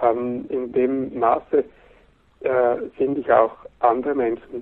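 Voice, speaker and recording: A man is talking. His voice is medium in pitch. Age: 40s. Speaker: magazine editor-in-chief. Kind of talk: interview.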